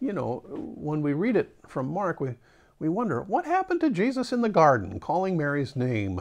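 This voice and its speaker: A man speaks at a fairly quick pace with very wide pitch swings. The background is quiet. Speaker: pastor. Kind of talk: sermon. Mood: reflective, gently conversational. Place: home room. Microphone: lapel.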